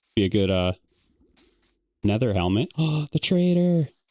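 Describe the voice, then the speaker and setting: Heard in a dry, close sound with no echo, a man with a Michigan accent and a relaxed, calm tone swings his pitch very widely. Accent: Michigan accent, drops T sounds. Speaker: gaming YouTuber. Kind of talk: casual gameplay commentary.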